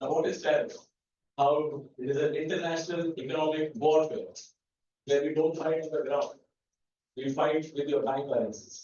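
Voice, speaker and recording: With fairly high pitch and fairly even intonation, a man leaves long, frequent pauses, and the room echo is audible. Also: moderate pace. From India, Mumbai. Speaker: paint manufacturer and business owner. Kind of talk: lecture presentation. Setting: university lecture hall with audience.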